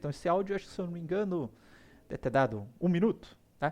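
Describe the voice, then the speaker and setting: A man with a fairly high-pitched voice. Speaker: university lecturer. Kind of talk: lecture. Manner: fast.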